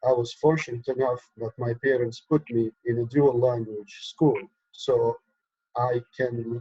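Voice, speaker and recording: Somewhat breathy, a man talks at a medium pitch and a moderate pace. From Egypt. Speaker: activist, organization co-founder. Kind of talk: interview.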